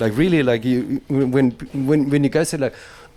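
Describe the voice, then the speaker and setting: Speaking at a fairly quick pace with a German accent, a man has a fairly high pitch and a dark, mellow tone. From Germany. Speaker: reggae radio DJ and host. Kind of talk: casual interview; radio presenting. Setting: radio studio. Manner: animated, halting with fillers.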